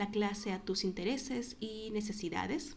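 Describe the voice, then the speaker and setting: A woman's fairly high voice shows ordinary pitch variation amid noticeable background noise. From Peru. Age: 20s. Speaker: online Spanish tutor. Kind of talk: self-introduction video.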